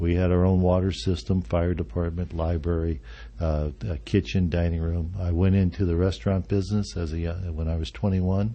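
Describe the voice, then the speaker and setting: A man with a very deep, low pitch talks at a fairly quick pace, somewhat breathy, with ordinary pitch variation. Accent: American. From Arizona. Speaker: senior living executive director. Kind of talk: radio interview. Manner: halting, many fillers.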